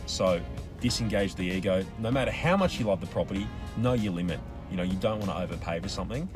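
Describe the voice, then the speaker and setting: A man with an Australian accent, talking very fast in a fairly low voice with lively intonation over background music. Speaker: auctioneer. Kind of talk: interview answer. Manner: casual, conversational.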